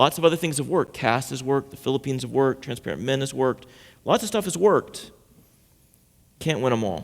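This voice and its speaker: On a very clean recording with a silent background, a man speaks very fast at a medium pitch, with lively intonation and vocal fry. Long pauses come often. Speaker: pastor giving a sermon. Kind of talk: sermon to a congregation. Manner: conversational, storytelling, humorous.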